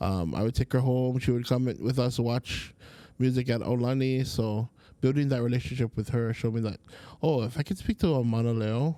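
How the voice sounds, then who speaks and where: Speaking at a fairly quick pace, a man has a dark, mellow tone and a medium pitch. He talks in a Hawaiian accent. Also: ordinary pitch variation. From Hawaii, Oahu. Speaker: Hawaiian language teacher. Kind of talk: casual chat.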